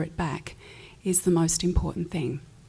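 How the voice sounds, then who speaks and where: A woman speaks with an Australian accent. Her pitch is fairly low and her tone dark and mellow. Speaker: pianist and recording artist. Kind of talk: panel discussion.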